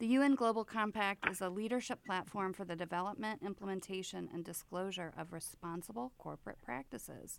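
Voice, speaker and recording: A woman with an unremarkable speaking voice talks at a medium pitch with lively intonation and hardly any pauses. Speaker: podcast co-host and business owner. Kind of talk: casual interview.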